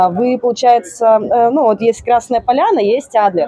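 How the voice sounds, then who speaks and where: A woman's fairly high-pitched voice at a fairly slow pace. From Siberia, Russia (Tomsk region). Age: 20s. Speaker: bartender. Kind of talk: casual interview. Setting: bar expo venue.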